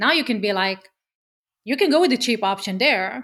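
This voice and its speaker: In a very clean recording with a silent background, a woman speaks at a moderate pace with a fairly high pitch. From Israel. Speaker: media agency founder. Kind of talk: podcast interview. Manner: animated.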